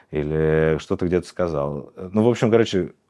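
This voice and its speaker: A man's very deep, low voice, dark and mellow, with lively intonation at a fairly slow pace, against a quiet background. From Russia, Irkutsk. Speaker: journalist and LGBTQ+ activist. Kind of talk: interview.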